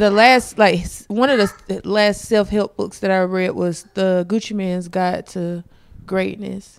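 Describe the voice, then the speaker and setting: With a plain, everyday voice, a woman talks at a fairly slow pace and medium pitch, her intonation fairly even. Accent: American. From South Carolina. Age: 30s. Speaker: comedian. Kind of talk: casual chat. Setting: home studio.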